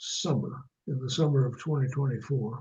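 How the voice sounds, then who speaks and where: Amid audible room echo, a man with an American accent speaks at a moderate pace in a fairly high pitch, somewhat breathy, with a dark, mellow tone and fairly even intonation. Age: 80s+. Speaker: author. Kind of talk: interview. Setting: phone call.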